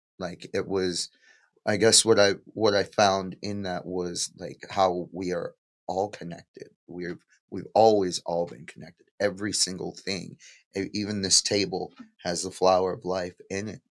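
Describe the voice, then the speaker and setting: In a very clean recording with a silent background, a man with a very deep, low pitch speaks fairly slowly in a monotone, flat intonation, with big swings in loudness. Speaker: artist. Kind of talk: testimony.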